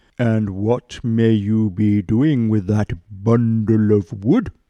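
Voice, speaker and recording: Putting on a character voice, a man speaks at medium pitch and a very slow pace. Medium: read story. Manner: eager, greedy.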